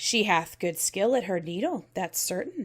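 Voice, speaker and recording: A female-sounding, raspy put-on character voice at medium pitch moves at a moderate pace. The recording is very clean with a silent background. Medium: read story.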